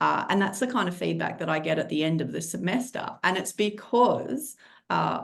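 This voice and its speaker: With vocal fry and lively intonation, a woman speaks at a fairly low pitch and a moderate pace. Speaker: criminology lecturer. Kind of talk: webinar presentation.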